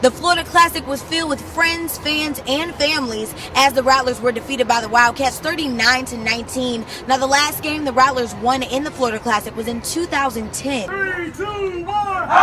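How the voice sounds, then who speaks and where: A raised, projected voice speaks at a moderate pace with lively intonation and hardly any pauses. Noticeable background noise runs underneath. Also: woman, high pitch for a woman. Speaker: TV sports reporter. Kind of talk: TV news reporter voice-over and stand-up.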